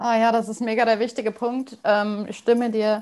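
A quiet background surrounds the voice. Its tone is dark and mellow. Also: woman. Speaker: podcast host and couples coach. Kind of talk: interview conversation.

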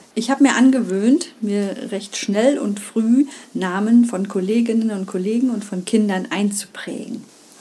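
Against noticeable background noise, a woman talks with a fairly high pitch and ordinary pitch variation. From East Germany. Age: 50s. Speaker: primary school teacher and podcast host. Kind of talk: solo podcast monologue.

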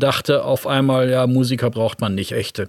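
The man's intonation is flat and monotone. His voice is in a medium register. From West Germany. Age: 60s. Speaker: guitarist and record label founder. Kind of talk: interview.

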